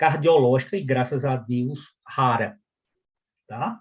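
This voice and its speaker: A man is speaking. His voice is somewhat breathy. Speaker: physician and medical professor. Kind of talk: lecture.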